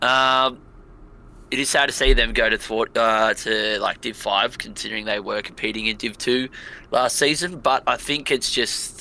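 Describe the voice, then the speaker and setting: A man with an Australian accent at a moderate pace. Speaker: competitive gaming guest. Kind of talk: casual podcast discussion.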